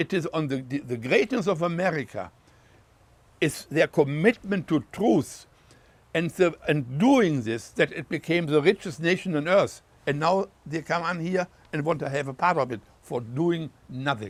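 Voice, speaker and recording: A man speaking in a German accent has a fairly high pitch and lively intonation, captured in a very clean recording with a silent background. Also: moderate pace. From Germany. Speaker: war veteran. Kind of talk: interview answer.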